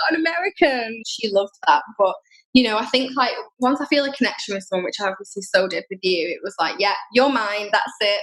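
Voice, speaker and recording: A woman at a fairly quick pace. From northern England, Manchester. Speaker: podcast guest, traveler living abroad. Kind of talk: casual chat.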